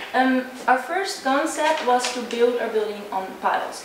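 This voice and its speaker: With audible room echo and noticeable background noise in the recording, a woman speaks at a moderate pace. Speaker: presenter. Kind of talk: presentation. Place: hall. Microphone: camera far.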